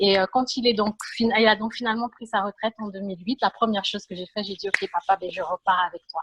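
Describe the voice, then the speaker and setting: A woman with an ordinary speaking voice speaks at a medium pitch with fairly even intonation. The sound is dry and close, with no echo. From Cameroon, then Montreal from age 10-11. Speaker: panel guest. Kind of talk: panel interview on video call. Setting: video call.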